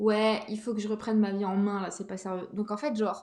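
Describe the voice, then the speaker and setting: A woman is speaking. Her voice is fairly high. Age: 30s. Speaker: podcast host. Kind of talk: casual monologue. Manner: hesitant, many fillers.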